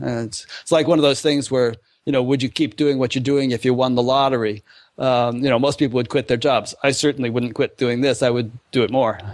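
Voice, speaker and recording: A man with an ordinary speaking voice talks at a fairly quick pace and medium pitch. His intonation stays fairly even over a quiet background. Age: 60s. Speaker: online show host. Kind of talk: interview. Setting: podcast.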